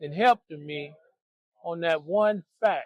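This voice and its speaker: A man speaks at a very slow pace with ordinary pitch variation. The sound is dry and close, with no echo. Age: 60s. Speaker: person experiencing homelessness. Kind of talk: interview answer. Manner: reflective, preacherly.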